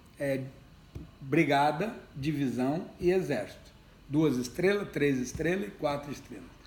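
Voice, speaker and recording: There is audible room echo around a man's voice. He speaks at a fairly slow pace with a fairly high pitch. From Brazil, Ribeirão Preto (São Paulo state). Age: 60s. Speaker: retired army general and politician. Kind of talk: interview.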